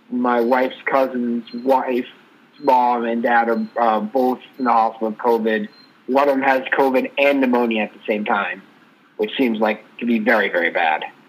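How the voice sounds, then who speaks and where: A man speaks with fairly even intonation and a medium pitch at a moderate pace, with noticeable background noise. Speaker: co-host. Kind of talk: casual sports talk podcast.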